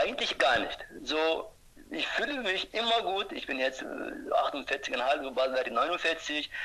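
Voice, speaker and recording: Speaking very slowly with a Turkish accent, a man uses a high pitch with very wide swings. Noticeable background noise sits behind him. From Turkey. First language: Turkish (speaking German). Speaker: ultrarunner. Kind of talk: interview. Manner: halting.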